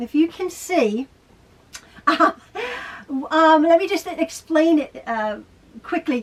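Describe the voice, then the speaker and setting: A woman's high-pitched voice with lively intonation comes over noticeable background noise. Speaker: sewing video host. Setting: sewing room at home.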